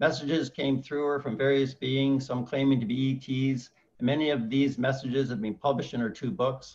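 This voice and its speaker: A man with monotone, flat intonation at a fairly quick pace. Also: medium pitch for a man. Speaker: UFO meetup host. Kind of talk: guest introduction.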